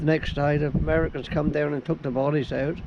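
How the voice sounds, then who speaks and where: A man with a Suffolk accent speaks at a moderate pace and fairly high pitch, with monotone, flat intonation. Noticeable background noise runs underneath. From Suffolk, England. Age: 80s+. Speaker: harbour master. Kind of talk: interview answer.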